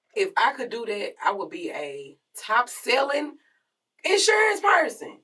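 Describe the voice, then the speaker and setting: A woman speaks at a very slow pace. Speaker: podcast co-host. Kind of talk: casual chat. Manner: loud.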